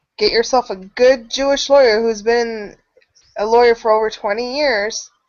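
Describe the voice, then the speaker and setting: A woman's fairly high-pitched, ordinary speaking voice at a moderate pace, with fairly even intonation. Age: 30s. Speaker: channel host. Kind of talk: casual chat.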